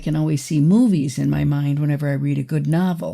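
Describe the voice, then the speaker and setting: Recorded very cleanly against a silent background, a woman speaks at a moderate pace with a very deep, low pitch and a dark, mellow, somewhat breathy tone. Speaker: fiction author. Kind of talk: interview. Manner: hesitant with fillers.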